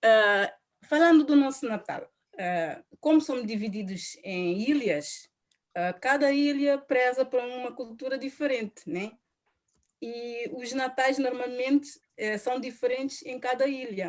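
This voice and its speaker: A woman with a Cape Verdean accent speaks at a fairly slow pace in a high pitch, her intonation lively and her loudness swinging widely. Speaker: panel guest. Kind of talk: casual presentation.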